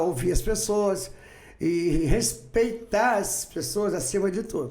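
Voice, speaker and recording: With audible room echo around him, a man speaks in a high pitch with lively intonation. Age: 60s. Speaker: farmer, businessman and political candidate. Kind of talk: podcast interview.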